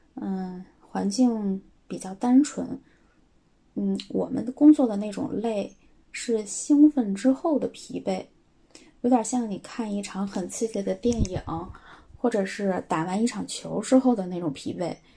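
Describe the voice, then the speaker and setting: A woman talks at a fairly slow pace in a dark, mellow, somewhat breathy tone. Her pitch varies in an ordinary way, and her pauses are long and frequent. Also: medium pitch for a woman. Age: 30s. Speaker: schoolteacher. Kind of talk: recorded voice submission answering questions.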